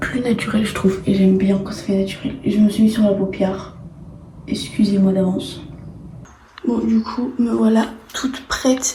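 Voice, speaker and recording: Over noticeable background noise and audible room echo, a woman at medium pitch talks at a moderate pace with fairly even intonation and long, frequent pauses. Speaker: vlogger. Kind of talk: vlog narration. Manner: whispering.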